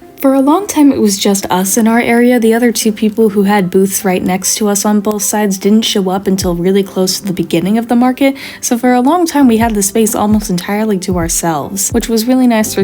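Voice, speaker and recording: Over noticeable background noise, a woman talks at a fairly quick pace in a medium pitch, with ordinary pitch variation and hardly any pauses. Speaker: artist vlogger. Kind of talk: casual vlog talk.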